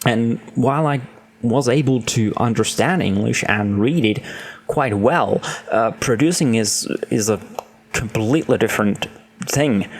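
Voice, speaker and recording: A man at medium pitch with a non-native accent, fairly slow with long, frequent pauses, very even loudness, ordinary pitch variation, and noticeable background noise. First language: not English. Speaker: gaming streamer and video creator. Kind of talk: casual monologue to camera. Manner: halting, with fillers.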